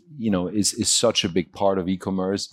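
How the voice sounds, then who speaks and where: With a German accent, a man speaks at a fairly low pitch and with fairly even intonation in a very clean recording over a silent background. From Germany. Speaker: e-commerce CEO. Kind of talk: panel discussion.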